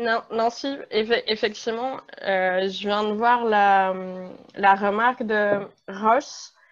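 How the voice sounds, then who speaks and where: Against a quiet background, a woman with a fairly high pitch speaks at a very slow pace in a fairly even intonation. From France. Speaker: panelist, museum community member. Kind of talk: presentation in online panel.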